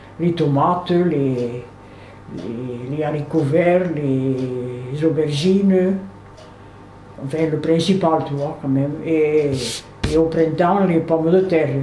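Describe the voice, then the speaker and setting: Very slow speech with long, frequent pauses and ordinary pitch variation plays over background music, with audible room echo. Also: woman, very deep, low pitch for a woman. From southern France, Aude near Carcassonne. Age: 80s+. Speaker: retired seamstress, interviewee. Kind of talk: personal life-story interview. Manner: halting, with frequent hesitations.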